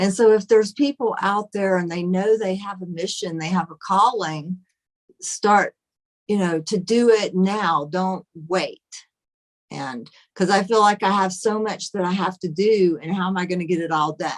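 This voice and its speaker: A woman speaks in a plain, everyday voice at a medium pitch. She keeps a moderate pace and ordinary pitch variation. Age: 60s. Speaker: author. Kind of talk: casual chat.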